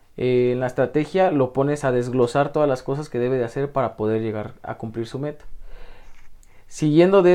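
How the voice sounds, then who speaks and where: A man's dark, mellow voice, fairly high in pitch, with ordinary pitch variation at a moderate pace over a quiet background. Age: 20s. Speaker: youth life-planning coordinator, former psychology student. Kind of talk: radio interview.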